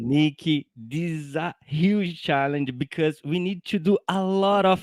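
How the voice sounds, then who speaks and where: Using a fairly high pitch with ordinary variation, a man with a non-native accent talks at a very slow pace in a dry, close sound with no echo. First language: not English. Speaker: software engineer. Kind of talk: technical explanation in live show.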